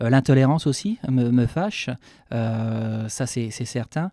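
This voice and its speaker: In a very clean recording with a silent background, a man speaks at medium pitch with a dark, mellow tone and a dry, close sound with no echo. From France, Normandy. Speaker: chef. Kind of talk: radio interview. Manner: hesitant, many fillers; fast.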